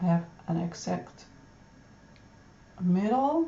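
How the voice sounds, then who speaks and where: With a Dutch accent, a woman speaks very slowly in a somewhat breathy, fairly low voice. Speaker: pattern designer. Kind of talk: tutorial. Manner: halting.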